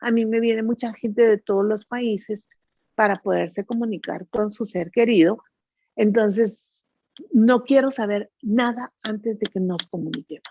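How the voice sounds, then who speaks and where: A woman with a normal speaking voice talks at a fairly slow pace, her pitch fairly high with ordinary pitch variation. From Guatemala. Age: 60s. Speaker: psychic medium. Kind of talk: interview.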